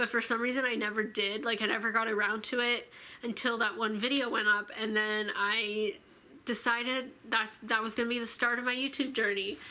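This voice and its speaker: A woman with a normal speaking voice talks at a fairly quick pace, her pitch fairly high and her intonation fairly even. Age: 20s. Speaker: YouTuber. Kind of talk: casual vlog talk to camera. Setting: filming alone to camera. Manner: casual with many fillers.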